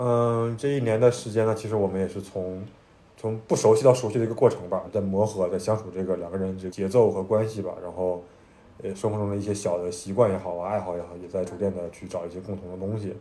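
With a northeastern Chinese accent, a man speaks at a very fast pace, his fairly low voice dark and mellow in tone with fairly even intonation. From Northeast China. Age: 20s. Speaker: podcast co-host. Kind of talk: casual chat.

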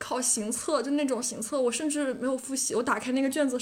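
Speech comes at a very fast pace with fairly even intonation. Noticeable background noise runs underneath. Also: woman. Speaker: graduate student job seeker. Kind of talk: casual chat.

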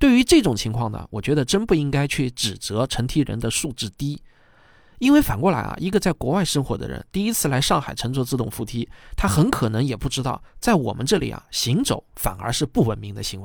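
Vocal fry from a man talking at a fairly quick pace with very wide pitch swings. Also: medium pitch for a man, very clean recording, silent background. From China. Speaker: podcast host, commentator. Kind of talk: scripted commentary monologue.

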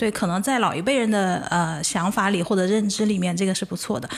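A normal speaking voice from a woman at medium pitch, fairly quick in pace, with ordinary pitch variation. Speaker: podcast host. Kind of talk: casual chat.

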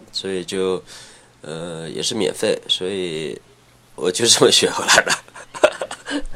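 A man speaking at a very slow pace, with big swings in loudness over noticeable background noise. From Henan, China (rural Huaiyang), later Shenzhen. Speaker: former pro skateboarder. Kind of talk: casual chat. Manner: halting.

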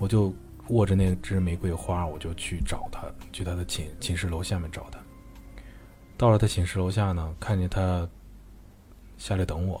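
With a slight Beijing accent, a man talks at a moderate pace in a very deep, low pitch and fairly even intonation, music playing in the background. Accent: slightly Beijing-like. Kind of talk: personal story.

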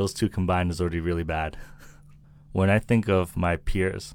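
A man with a very deep, low pitch talks at a moderate pace in a flat monotone, recorded very cleanly against a silent background. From US Northeast, Milton, Massachusetts. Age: 30s. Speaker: entrepreneur. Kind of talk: interview conversation.

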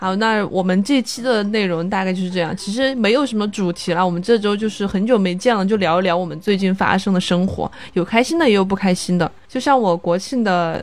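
A woman speaks at a fairly quick pace with medium pitch and ordinary pitch variation in an unremarkable speaking voice. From Chongqing, China. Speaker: podcast co-host, lawyer. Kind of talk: casual chat.

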